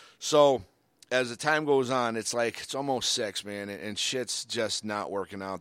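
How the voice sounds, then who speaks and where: Here is a plain, everyday voice, a man with an American accent at a medium pitch with ordinary pitch variation. He keeps a moderate pace on a very clean recording with a silent background. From Michigan and Cape Cod, US. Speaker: podcast co-host. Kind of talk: casual chat.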